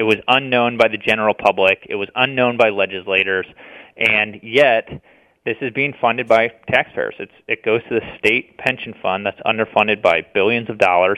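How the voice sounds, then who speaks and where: A man talks in an unremarkable speaking voice at a medium pitch. His pace is moderate and his intonation fairly even. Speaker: policy researcher. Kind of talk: interview.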